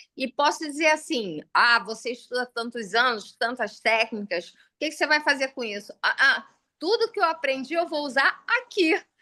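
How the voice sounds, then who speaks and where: Against a quiet background, a woman with a bright, sharp tone speaks at a moderate pace with very wide pitch swings. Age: 60s. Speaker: artisan, sculptor of religious figures. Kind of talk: casual chat. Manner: animated.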